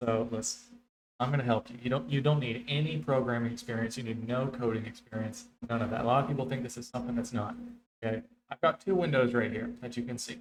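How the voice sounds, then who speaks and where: Very fast speech from a man, the intonation fairly even. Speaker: streamer and tutorial host. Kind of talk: tutorial.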